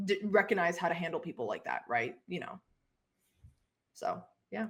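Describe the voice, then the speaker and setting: A woman's fairly low voice with vocal fry and very wide pitch swings. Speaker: YouTube interviewer. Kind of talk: casual interview chat. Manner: fast.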